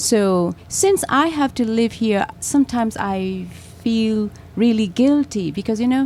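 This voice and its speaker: A woman speaks at a fairly slow pace with a somewhat breathy voice. Her pitch is fairly high, with ordinary variation. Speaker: artist. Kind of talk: interview. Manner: halting.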